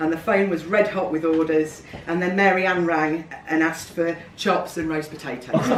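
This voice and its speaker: A speaker with a Lincolnshire accent talks at a fairly quick pace. Noticeable background noise is present. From England, Lincolnshire. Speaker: community member giving a speech. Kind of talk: speech read aloud at an event.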